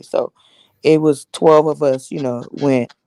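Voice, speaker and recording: Recorded with a dry, close sound and no echo, a woman with an American accent speaks at a very deep, low pitch in a dark, mellow tone. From Los Angeles, California. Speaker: live stream host. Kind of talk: casual chat. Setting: live stream.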